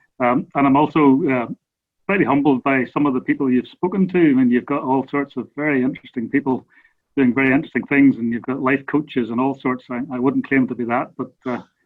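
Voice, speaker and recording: A man's medium-pitched voice with a Northern Irish accent, very fast in pace and fairly even in intonation. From Northern Ireland. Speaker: research scientist. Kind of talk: casual interview.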